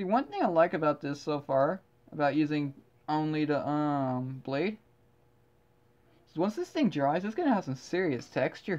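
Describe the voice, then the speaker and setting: Someone with a Southern US accent talks at a moderate pace, leaving long, frequent pauses. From US South. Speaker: artist and video creator. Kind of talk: casual commentary while painting. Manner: rambling, hesitant with fillers.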